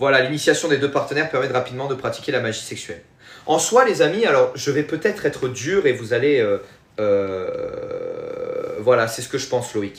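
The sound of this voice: A man with a Marseille accent talks at a moderate pace and medium pitch, with big pitch swings. Vocal fry runs through his voice. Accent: southern French, Marseille.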